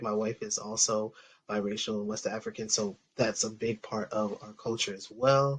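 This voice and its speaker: A man at medium pitch and a moderate pace, with an American accent. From US East Coast (Delaware, then Atlanta). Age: 40s. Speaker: panelist. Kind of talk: panel discussion.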